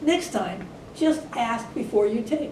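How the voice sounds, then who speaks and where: In a put-on character voice, a woman talks at a fairly slow pace and a fairly high pitch, with a slight echo and clear background noise. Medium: read story.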